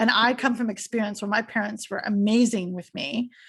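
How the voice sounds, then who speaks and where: A woman's somewhat breathy, fairly high voice with a Canadian accent, at a fairly quick pace, in a very clean recording with a silent background. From Canada, Toronto. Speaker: podcast host. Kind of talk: casual interview chat. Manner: animated.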